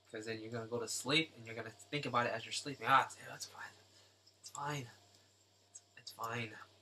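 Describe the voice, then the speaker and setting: Amid noticeable background noise, a man of medium pitch speaks fairly quickly with fairly even intonation, long, frequent pauses and big swings in loudness. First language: not English. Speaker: artist live-streaming drawing. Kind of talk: live stream tutorial chat. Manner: halting, with fillers. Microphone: volume was too quiet, turned down.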